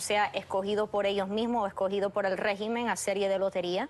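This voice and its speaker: A woman's intonation stays fairly even while music plays faintly behind her. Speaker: TV guest. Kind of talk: interview answer. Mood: earnest, concerned. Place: studio.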